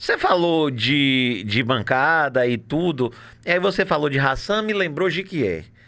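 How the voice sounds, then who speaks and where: This man has a bright, sharp tone and a fairly high pitch with lively intonation. He talks at a fairly slow pace with very even loudness. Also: very clean recording, silent background. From Bahia, Brazil (Itaberaba). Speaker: political podcast host. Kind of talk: casual chat. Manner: animated.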